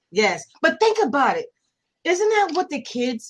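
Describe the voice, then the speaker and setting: A woman speaks in a plain, everyday voice with ordinary pitch variation. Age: 60s. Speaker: retired law enforcement and corrections officer. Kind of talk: podcast interview.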